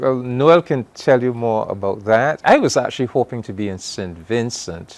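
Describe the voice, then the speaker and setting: A man of medium pitch with a Barbadian accent, at a moderate pace with hardly any pauses, ordinary pitch variation and big swings in loudness. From Trinidad and Barbados. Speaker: diplomat. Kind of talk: interview.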